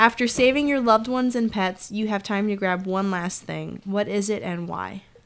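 With an American accent, a woman talks in an unremarkable speaking voice at medium pitch, moderate pace, ordinary pitch variation and hardly any pauses. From New Jersey. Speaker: sketch comedy writer. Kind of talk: casual conversation.

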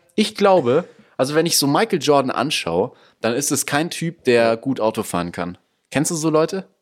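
With vocal fry and very wide pitch swings, a man speaks at a medium pitch and moderate pace on a very clean recording with a silent background. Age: young. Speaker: podcast co-host. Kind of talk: casual chat.

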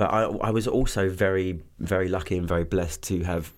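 A man with an English accent, very deep and low in pitch, with fairly even intonation and audible room echo. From southeast England (Kent). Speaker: singer-songwriter. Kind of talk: casual interview.

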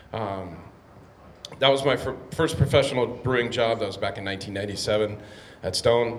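A man with an American accent speaks at a very slow pace and a medium pitch with ordinary pitch variation. There is audible room echo and noticeable background noise. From San Diego, California. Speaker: brewery owner. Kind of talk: Q&A conversation. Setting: live event with audience.

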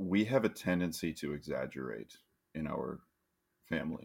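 A man speaks with lively intonation. His voice carries vocal fry. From US Midwest. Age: 30s. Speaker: podcast co-host. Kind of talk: casual chat.

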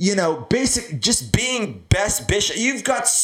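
A man with a high voice and lively intonation speaks at a very slow pace. Noticeable background noise runs behind him. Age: 30s. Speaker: podcast host. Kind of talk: casual chat. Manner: animated.

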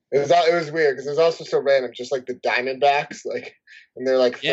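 This man has an ordinary speaking voice at medium pitch. He talks at a fairly quick pace with fairly even intonation. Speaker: podcast host. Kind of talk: casual chat.

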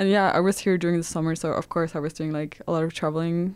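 The speaker is a woman with a Danish accent. Her pitch is fairly low. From Denmark. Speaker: student podcast host. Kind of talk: casual interview.

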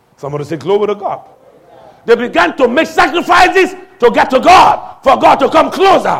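Crowd noise murmurs in the background as the speaker talks at a fairly quick pace. The tone is animated, with lively intonation. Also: man, extremely high pitch for a man. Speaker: pastor. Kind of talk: sermon. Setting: church. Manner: animated, call-and-response preaching, urging the congregation to shout back; commanding, authoritative.

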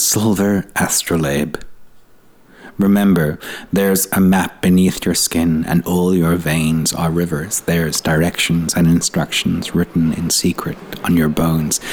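A man's very deep, low voice, fairly slow and monotone, flat in intonation, with very even loudness and noticeable background noise. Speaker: poet. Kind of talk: poetry reading.

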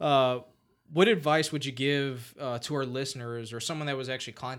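Delivered at a fairly quick pace, an ordinary speaking voice holds fairly even intonation. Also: man. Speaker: podcast host. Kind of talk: interview, casual chat.

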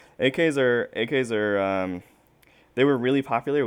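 Using a plain, everyday voice, a man talks with an American accent. He keeps a moderate pace and ordinary pitch variation. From South Carolina. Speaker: militia researcher. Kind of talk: interview.

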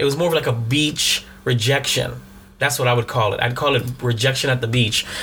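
Noticeable background noise accompanies a man with a medium-pitched voice. He talks at a fairly quick pace with very even loudness. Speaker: podcast co-host. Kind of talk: casual comedic banter. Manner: joking, animated.

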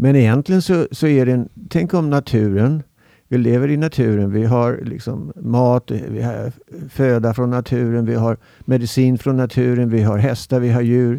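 A man's dark, mellow tone carries ordinary pitch variation, set against a quiet background. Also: medium pitch for a man, moderate pace. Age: 70s. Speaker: podcast guest. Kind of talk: casual chat. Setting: studio.

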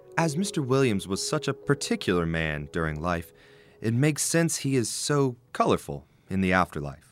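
Over music in the background, a man at medium pitch talks at a moderate pace, his pitch swinging very widely. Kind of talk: scripted narration. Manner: measured, storyteller's narration.

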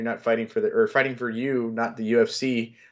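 With an American accent, a man speaks in a normal speaking voice at a medium pitch and a fairly quick pace, his intonation lively against a quiet background. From US South. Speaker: MMA analyst. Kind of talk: casual chat.

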